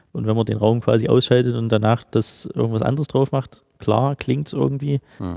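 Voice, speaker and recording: A man's dark, mellow voice with ordinary pitch variation and hardly any pauses. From Halle, central Germany. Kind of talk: casual interview. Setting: large unfinished studio hall.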